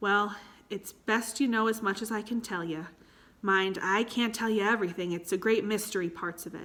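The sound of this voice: Reading in an unforced voice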